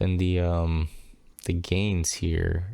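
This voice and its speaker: A man with a very deep, low pitch talks quietly in a dark, mellow tone. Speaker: streamer testing audio gear. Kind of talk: solo mic test talk-through. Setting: home room at night, window open. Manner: quiet, normal speaking voice; hesitant, many fillers.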